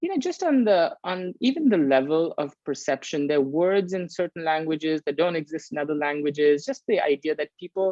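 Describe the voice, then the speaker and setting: With a Bengali accent, a man speaks at a fairly quick pace with ordinary pitch variation. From India, Calcutta, raised also in Paris and Geneva. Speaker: leadership course facilitator. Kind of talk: video interview. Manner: hesitant with frequent repetitions.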